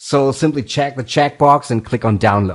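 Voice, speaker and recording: A man's fairly high voice in a non-native accent, at a moderate pace, with ordinary pitch variation. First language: not English. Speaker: programming tutorial host. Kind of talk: tutorial.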